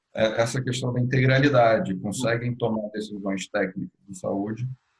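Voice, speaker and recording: A somewhat breathy male voice with fairly even intonation at a moderate pace. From Brazil. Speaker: healthcare executive, webinar speaker. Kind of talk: webinar Q&A and closing remarks. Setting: video call webinar.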